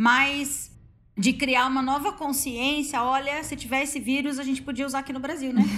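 At a moderate pace, a woman speaks in a high, bright, sharp voice with fairly even intonation and audible room echo. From Paraná, Brazil. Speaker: virologist, postdoctoral researcher. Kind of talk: casual chat.

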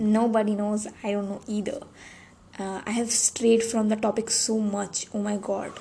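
At a moderate pace, a woman talks in a monotone, flat intonation at a fairly high pitch. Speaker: podcaster. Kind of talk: personal monologue. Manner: halting.

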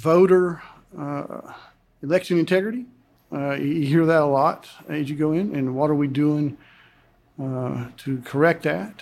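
A man talks with a fairly high pitch and ordinary pitch variation. His pace is fairly slow, broken by long, frequent pauses. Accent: Appalachian. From Western North Carolina, Buncombe County. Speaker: congressional candidate, retired army colonel. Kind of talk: interview.

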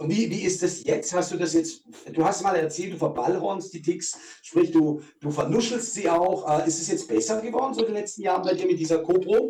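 Pitched high, a man's voice rises and falls with ordinary variation. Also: moderate pace. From southern Germany. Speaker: podcast co-host with Tourette syndrome. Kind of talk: casual chat.

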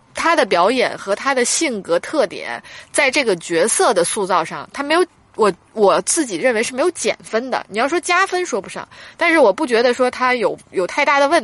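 A woman speaks at a moderate pace, her high voice making very wide pitch swings. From northern China. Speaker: film critic podcast co-host. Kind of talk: casual chat film review.

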